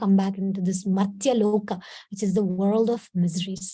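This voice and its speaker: A woman with a Kannada accent, somewhat breathy, in a dark, mellow tone at a moderate pace. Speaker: spiritual teacher. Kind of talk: devotional talk / storytelling.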